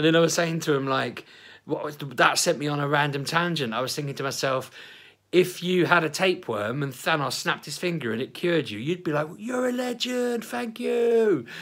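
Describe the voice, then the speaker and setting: Speaking at a fairly quick pace in an Essex accent, this man sounds animated, his pitch swinging very widely over a very clean recording with a silent background. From Essex, England. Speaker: vlogger. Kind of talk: casual vlog chat.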